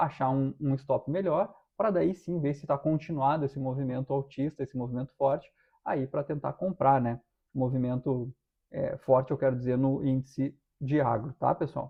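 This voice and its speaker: A man with a fairly high voice moves at a moderate pace, his pitch varying in an ordinary way. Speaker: stock market analyst. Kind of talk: technical analysis livestream. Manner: halting, many fillers.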